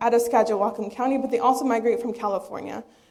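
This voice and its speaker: With fairly even intonation, a woman talks in a Spanish accent. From eastern Washington, US. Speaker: PhD researcher. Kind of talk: lecture.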